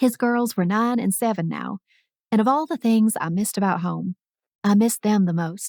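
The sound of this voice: Against a quiet background, there is an unforced reading voice, with pitch that varies in an ordinary way.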